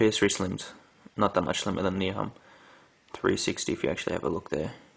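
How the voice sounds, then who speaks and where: Talking very fast, a man has an Australian accent. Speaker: gaming YouTuber. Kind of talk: product comparison video. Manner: casual with filler words.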